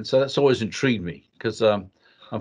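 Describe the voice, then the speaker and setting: A man talks with an Australian accent. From Western Australia. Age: 60s. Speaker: leadership consultant. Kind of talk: interview.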